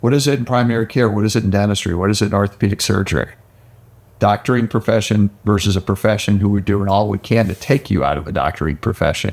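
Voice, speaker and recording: A man speaks at a very fast pace. His fairly low voice shows ordinary pitch variation. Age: 60s. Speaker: physical therapist and business executive. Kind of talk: podcast conversation.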